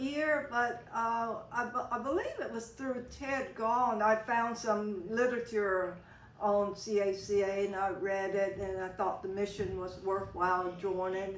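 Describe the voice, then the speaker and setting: Fairly slow speech from a woman, amid noticeable background noise and audible room echo. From Mississippi Delta. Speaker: longtime community organization member. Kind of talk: oral history interview. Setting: convention interview. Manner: halting, many fillers.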